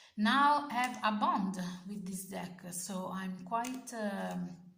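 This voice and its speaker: There is audible room echo. The speaker has an Italian accent. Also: woman. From Italy. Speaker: tarot content creator. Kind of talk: casual video review. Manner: halting, many fillers and self-corrections.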